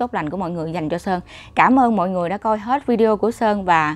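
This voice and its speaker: At a very fast pace, a woman talks with ordinary pitch variation. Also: dry sound with no echo. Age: 30s. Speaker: YouTuber vlogger. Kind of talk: casual vlog monologue. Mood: reflective, earnest. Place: home room. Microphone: lapel.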